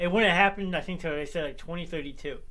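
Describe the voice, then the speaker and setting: A man talks at a very fast pace. Room echo is audible around him. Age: 30s. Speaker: sports show host. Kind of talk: casual chat. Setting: home basement studio, livestream.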